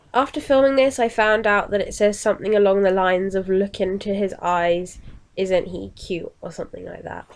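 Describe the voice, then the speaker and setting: In a British accent, a woman at medium pitch speaks at a moderate pace, her pitch varying in an ordinary way while her loudness swings widely. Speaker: vlogger. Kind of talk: product haul review. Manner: casual, chatty.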